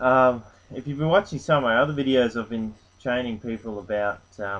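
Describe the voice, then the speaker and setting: The speaker is a man. He has an Australian accent. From Australia, rural North Queensland. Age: 20s. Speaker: online business vlogger. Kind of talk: casual vlog monologue. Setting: at home on a couch. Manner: hesitant, many fillers.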